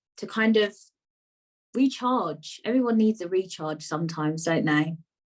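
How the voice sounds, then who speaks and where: Moderate pace and ordinary pitch variation, with a British accent. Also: woman. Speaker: podcast host. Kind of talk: casual interview chat.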